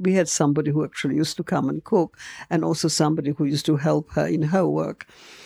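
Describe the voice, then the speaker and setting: In a very clean recording with a silent background, a woman's dark, mellow tone comes through as a dry, close sound with no echo. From Poland (Warsaw). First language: Polish. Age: 80s+. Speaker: retired dancer and actress, Holocaust survivor. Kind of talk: interview, life story testimony. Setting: at home in her flat.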